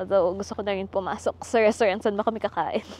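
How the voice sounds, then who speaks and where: Medium-pitched female voice against noticeable background noise. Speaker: travel vlogger. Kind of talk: casual vlog narration. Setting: outdoors in the cold, then restaurant. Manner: soft-spoken.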